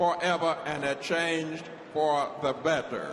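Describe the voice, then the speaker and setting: A man talks at a very slow pace. There is noticeable background noise and audible room echo. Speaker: war veteran. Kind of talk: convention speech. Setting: convention floor.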